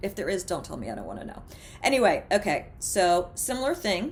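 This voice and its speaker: A woman with an American accent speaks at a moderate pace in a plain, everyday voice, her intonation lively. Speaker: former radio DJ, TV host and mindfulness coach. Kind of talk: instructional mindfulness talk to camera. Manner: casual, conversational, humorous.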